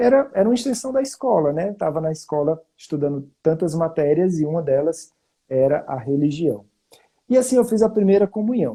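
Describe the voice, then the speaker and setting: A man with a strong northeastern Brazilian accent, a high-pitched voice with a dark, mellow tone, very wide pitch swings and a moderate pace. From Brazil, Fortaleza (Northeast). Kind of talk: testimony. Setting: online live stream. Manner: conversational with frequent fillers.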